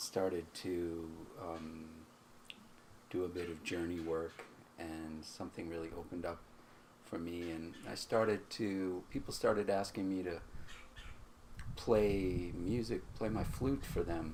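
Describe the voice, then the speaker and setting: A man with a very deep, low pitch speaks at a fairly slow pace with fairly even intonation. Long, frequent pauses break up his speech, and room echo is audible. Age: 60s. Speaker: musician and healer. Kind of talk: interview. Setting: outdoors on a porch.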